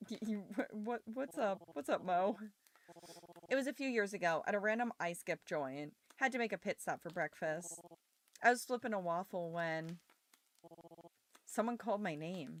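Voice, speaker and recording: The speaker is soft-spoken, with lively intonation. Long, frequent pauses break up the speech. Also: woman, medium pitch for a woman, moderate pace, dry, close sound with no echo. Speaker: streamer. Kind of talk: live game stream. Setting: livestream.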